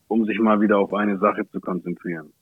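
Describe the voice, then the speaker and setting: A man talks at a moderate pace in a fairly low voice. His intonation is monotone and flat. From Germany, Ansbach (Franconia). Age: 30s. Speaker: rapper. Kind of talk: casual chat.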